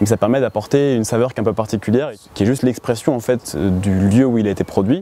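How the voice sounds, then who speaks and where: Noticeable background noise runs under a man's voice. He speaks at medium pitch with ordinary pitch variation. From western France (Laval). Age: 20s. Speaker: beekeeper and student. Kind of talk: interview monologue. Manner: hesitant, many fillers.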